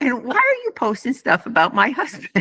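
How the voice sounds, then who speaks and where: A woman's bright, sharp tone at a moderate pace. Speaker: retired nurse, chorus singer. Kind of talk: interview answer.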